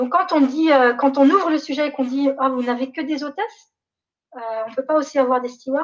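Here is a woman with a high-pitched voice. She talks at a fairly quick pace. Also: ordinary pitch variation. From Niger, raised partly in Canada, France, Belgium. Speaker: development executive. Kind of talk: interview. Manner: hesitant, many fillers.

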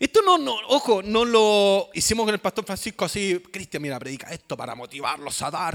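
A man's high-pitched voice moves along at a moderate pace. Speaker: pastor. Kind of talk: sermon. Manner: halting.

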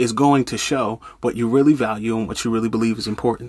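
The voice belongs to a man. The recording is very clean and the background is silent. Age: 30s. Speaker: life coach and minister hosting a motivational podcast. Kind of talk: motivational monologue. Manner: animated; repeats words when thinking.

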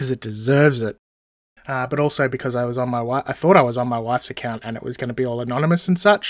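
Very fast speech comes from a man with an Australian accent, medium in pitch and with ordinary pitch variation. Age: 40s. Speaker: podcast host. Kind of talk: casual monologue.

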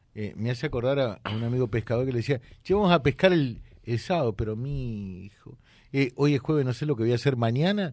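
An ordinary speaking voice: a man at a medium pitch talks fairly quickly with lively intonation. The recording is very clean with a silent background. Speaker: radio host. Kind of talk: radio interview.

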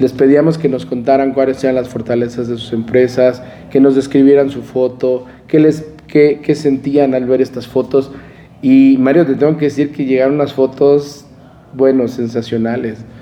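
A man's medium-pitched voice at a moderate pace, monotone and flat, against noticeable background noise. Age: 50s. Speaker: crane company executive and former association president. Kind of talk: interview. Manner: halting, many fillers and repetitions.

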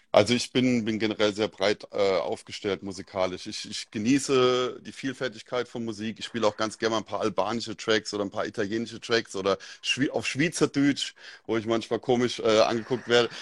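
Over a quiet background, a man with a Mainz accent speaks at a fairly quick pace with a medium pitch and fairly even intonation, in a dry, close sound with no echo. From Germany, Mainz area. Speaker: DJ. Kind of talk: casual chat.

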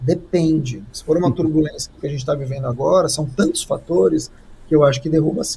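A man talks at a very fast pace with a fairly high pitch, ordinary pitch variation and vocal fry. His tone is dark and mellow, and his loudness swings widely. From Brazil. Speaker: communication strategist and speaker. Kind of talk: live-streamed interview.

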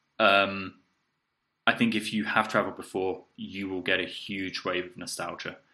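In a southern English accent, a man with a fairly low pitch and a bright, sharp tone speaks over a very clean recording with a silent background. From southeast England. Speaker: podcast co-host, English teacher. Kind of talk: casual chat.

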